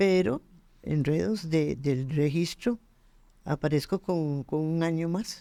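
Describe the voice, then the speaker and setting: The speech comes very slowly on a very clean recording with a silent background. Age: 80s+. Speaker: interviewee sharing faith testimony. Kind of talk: testimony.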